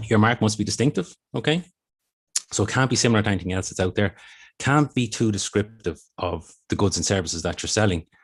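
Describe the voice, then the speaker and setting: A very fast-talking man with an Irish accent, fairly low-pitched and somewhat breathy, with ordinary pitch variation against a quiet background. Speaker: intellectual property office official. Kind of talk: presentation.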